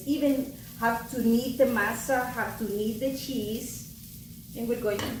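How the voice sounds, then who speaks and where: Over noticeable background noise, the speaker talks at a very slow pace in a warm tone with ordinary pitch variation. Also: woman. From El Salvador. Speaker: cookbook author. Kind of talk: cooking tutorial. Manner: warm, encouraging.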